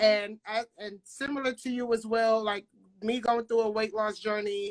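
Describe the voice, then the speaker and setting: In a New York accent, a woman speaks at a fairly high pitch with monotone, flat intonation. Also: moderate pace. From Brooklyn, New York. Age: 20s. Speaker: interviewer. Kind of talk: interview.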